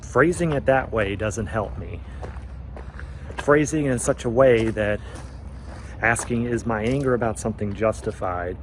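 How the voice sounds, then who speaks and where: Noticeable background noise accompanies a man's medium-pitched voice. He speaks at a fairly slow pace with very wide pitch swings. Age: 30s. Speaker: vlogger. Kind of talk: casual vlog monologue. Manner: occasional stutter.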